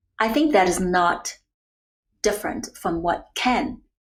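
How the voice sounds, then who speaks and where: A woman speaks with a Chinese accent at a medium pitch. Her voice is somewhat breathy. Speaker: nutrition and wellness coach. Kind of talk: podcast interview.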